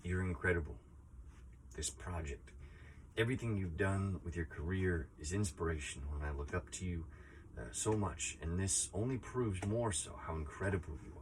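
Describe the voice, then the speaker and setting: A man with a very deep, low voice talks at a moderate pace with lively intonation and a somewhat breathy sound. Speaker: teacher and project founder who kept a year of silence. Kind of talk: casual talk to camera, personal reflection. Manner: thoughtful, sincere, slightly emotional, with hesitations and filler words.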